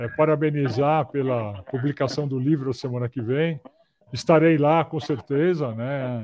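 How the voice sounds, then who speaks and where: Medium in pitch with ordinary variation, a man speaks in a normal speaking voice. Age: 60s. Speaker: professor, maintenance management expert. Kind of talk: casual chat. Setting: video call. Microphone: clear audio despite poor video.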